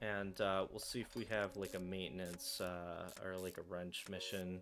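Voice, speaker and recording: A man's very deep, low voice, monotone and flat, at a moderate pace. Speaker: gaming streamer. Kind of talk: gameplay commentary. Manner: soft-spoken. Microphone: voice too quiet.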